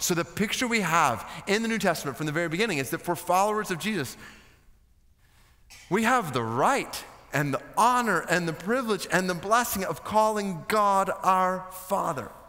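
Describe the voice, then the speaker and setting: A man with an American accent, his raised, projected voice high in pitch and bright, sharp in tone, with lively intonation at a moderate pace over a quiet background. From United States. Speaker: preacher, seminary guest speaker. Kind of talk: sermon preached to a seminary chapel audience. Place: stage. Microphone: headset.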